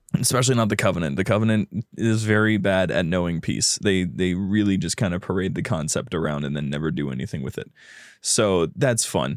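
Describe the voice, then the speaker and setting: A man with a very deep, low pitch talks at a fairly quick pace, his lively intonation mixed with vocal fry. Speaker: podcast host. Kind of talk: casual chat. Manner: animated.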